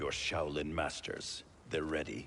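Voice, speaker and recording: A put-on character voice at a fairly slow pace amid clear background noise. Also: man. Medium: video game. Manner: clipped, stern.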